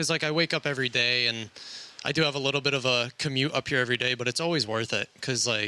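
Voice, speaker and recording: Very fast and very even in loudness, a man's medium-pitched voice has a bright, sharp tone and fairly even intonation. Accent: American. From Pennsylvania, US. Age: 20s. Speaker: hockey equipment manager. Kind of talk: interview. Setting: arena press box.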